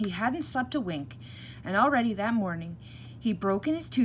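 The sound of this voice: The speaker has an unforced reading voice. The intonation is lively.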